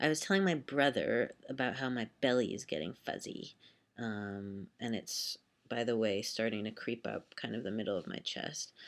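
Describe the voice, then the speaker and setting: In a very clean recording with a silent background, a man speaks at a medium pitch and moderate pace with lively intonation. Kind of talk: casual talk to camera. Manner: rambling, distractible.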